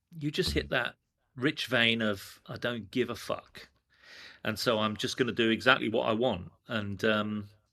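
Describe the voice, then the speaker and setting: In a London accent, a man talks at a moderate pace with a medium pitch, ordinary pitch variation and vocal fry. His tone is bright and sharp, and the recording is very clean with a silent background. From England. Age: 60s. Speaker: screen-print artist, former advertising executive. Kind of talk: casual interview chat.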